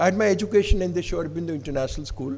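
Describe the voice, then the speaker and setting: In audible room echo, a man talks at a fairly quick pace with a dark, mellow tone and vocal fry. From Odisha, India. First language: Odia. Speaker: professor. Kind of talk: conference address. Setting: stage with audience. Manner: formal.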